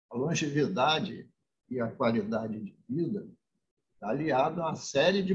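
The voice moves at a very slow pace with very wide swings in pitch. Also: man. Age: 70s. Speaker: state politician. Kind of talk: interview. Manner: formal.

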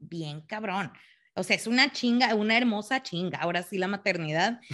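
A woman with an ordinary speaking voice, medium in pitch, at a moderate pace against a quiet background. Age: 30s. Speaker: mother, working professional. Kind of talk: casual chat.

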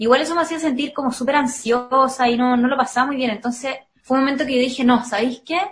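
A woman speaks with a Chilean accent at a fairly quick pace. Her voice is high with ordinary pitch variation. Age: 20s. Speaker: singer and psychology student. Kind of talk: casual interview.

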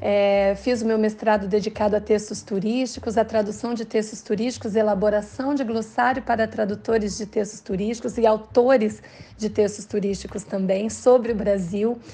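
A woman's fairly high, somewhat breathy voice with a dark, mellow tone, monotone and flat in intonation, at a moderate pace with hardly any pauses. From Paraná, Brazil (Londrina). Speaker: translator and university teacher. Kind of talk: interview.

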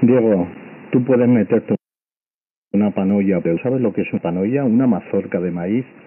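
A man with a Spanish accent speaks at a fairly quick pace in a fairly low pitch. His pitch varies in an ordinary way, and he takes long, frequent pauses. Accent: Peninsular Spanish. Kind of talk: casual chat. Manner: angry, insulting.

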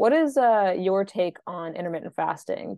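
A woman with a fairly low pitch talks at a moderate pace in an unremarkable speaking voice. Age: 30s. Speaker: podcast host, fitness business founder. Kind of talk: interview.

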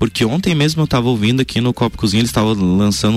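Lively intonation marks a man's medium-pitched voice. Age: 20s. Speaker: radio health columnist. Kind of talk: radio chat.

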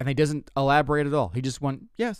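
The clip is a very clean recording of a man, with a silent background. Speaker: stand-up comedian and podcast host. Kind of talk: stand-up comedy with a casual storytelling chat. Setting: solo podcast recording. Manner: rambling, self-deprecating, conversational.

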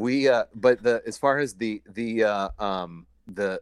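A man's medium-pitched voice with ordinary pitch variation and a dry, close sound with no echo. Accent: American. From Iowa. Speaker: brewery co-founder. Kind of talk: casual interview. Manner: halting.

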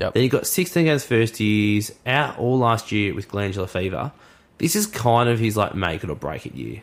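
An Australian-accented man at medium pitch with lively intonation and a moderate pace, on a very clean recording with a silent background. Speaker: sports podcast co-host. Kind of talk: casual chat. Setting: studio. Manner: animated.

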